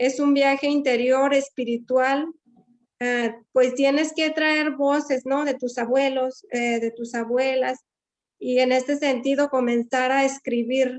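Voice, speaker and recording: With a western Mexican accent, a woman speaks at a very slow pace in a high pitch with monotone, flat intonation. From Wixárika community, Jalisco region, Mexico. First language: Wixárika (speaking Spanish). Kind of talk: panel discussion. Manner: halting, many fillers.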